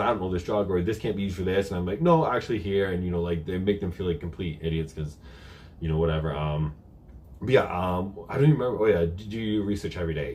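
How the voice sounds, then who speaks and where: Very fast and somewhat breathy, a man talks at a very deep, low pitch. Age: 30s. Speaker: health and bodybuilding youtuber. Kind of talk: live q&a stream. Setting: live stream on camera. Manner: casual, conversational.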